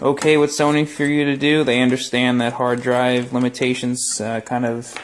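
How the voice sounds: A man's medium-pitched voice with little pitch movement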